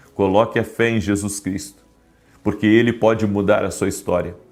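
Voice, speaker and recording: Music plays behind the voice. The man's pitch is fairly low. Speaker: pastor. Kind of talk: sermon.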